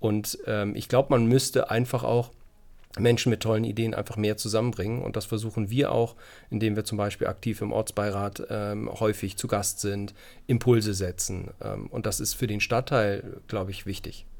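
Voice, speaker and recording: On a very clean recording with a silent background, a man speaks at a moderate pace. His pitch is fairly low and his intonation fairly even. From northern Germany, Hamburg. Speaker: professor. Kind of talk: interview. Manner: hesitant, many fillers.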